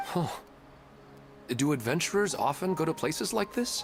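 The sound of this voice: Faint music plays behind a man who uses a put-on character voice with vocal fry, big pitch swings and a fairly slow pace. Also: fairly high pitch for a man.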